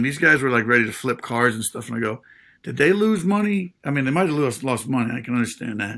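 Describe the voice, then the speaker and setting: The man's tone is bright and sharp, with ordinary pitch variation. The recording is very clean, with a silent background. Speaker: former pro baseball player, podcast host. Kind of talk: casual chat. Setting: studio. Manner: conversational, some stammering.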